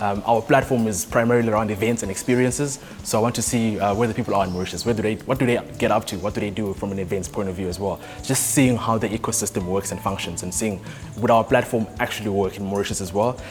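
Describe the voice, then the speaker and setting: A man at a fairly low pitch, very fast, with fairly even intonation, over music in the background. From South Africa, Johannesburg. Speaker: startup founder. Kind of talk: interview.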